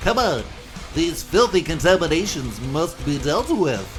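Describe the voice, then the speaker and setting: Using a put-on character voice, a man speaks at a moderate pace in a high pitch. Clear background noise sits behind him. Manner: gruff, disgusted.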